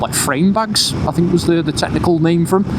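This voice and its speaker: A man with a northern English accent at a moderate pace, with audible room echo and noticeable background noise. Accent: northern English twang. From northern England. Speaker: motorcycle vlogger. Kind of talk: casual vlog commentary while riding. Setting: on a motorcycle, outdoors. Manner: casual, with many fillers.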